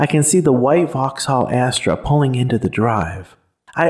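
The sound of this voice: Quiet background behind an unforced reading voice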